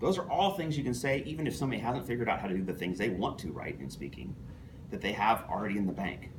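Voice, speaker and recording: A man talking at a very fast pace, his pitch swinging very widely, with audible echo in the room. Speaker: toastmasters club member giving a speech. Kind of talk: prepared speech to club audience. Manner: fast, few pauses.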